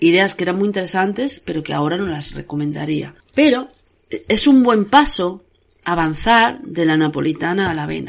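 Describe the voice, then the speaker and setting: At a moderate pace, a woman speaks at a fairly low pitch that swings very widely. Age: 40s. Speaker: podcast host and author. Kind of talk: casual monologue.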